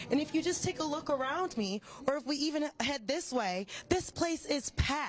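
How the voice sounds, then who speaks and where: Over noticeable background noise, a woman with a high voice and an American accent speaks with lively intonation. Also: moderate pace. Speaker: TV news reporter and anchor. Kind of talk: live on-location reporting and casual interview talk.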